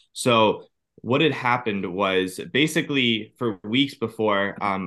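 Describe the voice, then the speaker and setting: In a plain, everyday voice, a man with an American accent speaks at a fairly low pitch with ordinary pitch variation. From Ohio, US. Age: 30s. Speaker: cancer survivor and personal trainer. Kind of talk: interview testimony.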